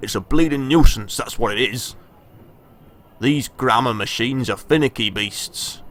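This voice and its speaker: A man puts on a rumbling character voice at a medium pitch. He speaks at a moderate pace. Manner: grumbling, irritated.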